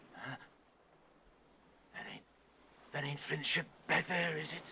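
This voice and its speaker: Using a raspy, put-on character voice with a fairly high pitch, a man talks at a moderate pace with big swings in loudness. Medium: short film. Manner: stammering, repetitive, jumpy.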